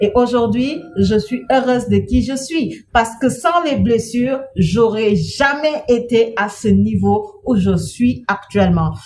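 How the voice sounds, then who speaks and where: A woman speaks at a very slow pace, with hardly any pauses. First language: not French (speaking French). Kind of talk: inspirational talk.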